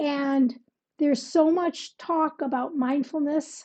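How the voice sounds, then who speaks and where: Against a quiet background, a woman speaks in a high voice with a dark, mellow tone and ordinary pitch variation. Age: 70s. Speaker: wellness coach and founder of a women's gathering. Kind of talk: motivational talk to camera. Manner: conversational with some hesitations.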